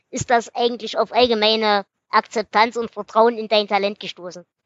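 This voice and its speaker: Against a quiet background, a woman with an unremarkable speaking voice and a fairly high pitch talks at a moderate pace, the sound dry and close with no echo. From Erzgebirge, Saxony. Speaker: podcast host. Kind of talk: casual interview; book summary.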